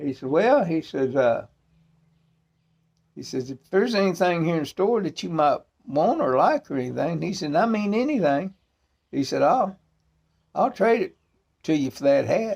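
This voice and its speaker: With a strong Arkansas accent, a man with a high pitch talks at a moderate pace, his pitch swinging very widely between long, frequent pauses. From US South, northeast Arkansas. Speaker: pipe smoking video presenter. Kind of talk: casual chat. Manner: halting, many fillers.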